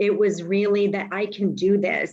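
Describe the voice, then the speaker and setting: A normal speaking voice from a woman, medium in pitch, at a fairly slow pace. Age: 50s. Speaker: coaching client sharing breakup story. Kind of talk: group video call discussion.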